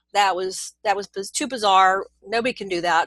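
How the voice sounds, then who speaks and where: With an American accent, a woman talks at a fairly quick pace in a medium-pitched, bright, sharp voice with ordinary pitch variation, the sound dry and close with no echo against a quiet background. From US Northeast (Pennsylvania). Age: 60s. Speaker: author and experiencer interviewee. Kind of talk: interview testimony.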